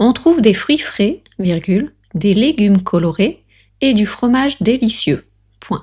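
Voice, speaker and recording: Somewhat breathy and fairly high-pitched, a woman speaks very slowly with very wide pitch swings. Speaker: French tutor. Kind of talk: language lesson dictation reading. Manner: natural pace reading.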